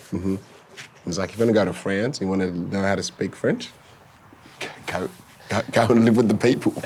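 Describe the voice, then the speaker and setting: A man's fairly low voice with an Australian accent, fairly quick but broken by long, frequent pauses, with fairly even intonation over noticeable background noise. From Sudan-born, raised in Victoria, Australia. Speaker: former footballer. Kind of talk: casual interview. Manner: halting.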